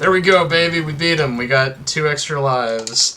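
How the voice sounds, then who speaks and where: A man over noticeable background noise. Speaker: gaming YouTuber. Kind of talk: gameplay commentary.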